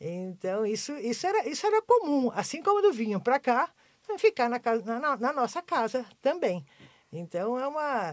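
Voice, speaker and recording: Over a silent background in a very clean recording, a woman speaks at a high pitch with very wide pitch swings. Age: 70s. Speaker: former basketball player. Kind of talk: podcast interview. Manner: halting, many repetitions.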